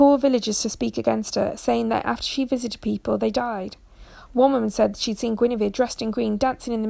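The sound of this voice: This is an unforced reading voice. The reading is unforced.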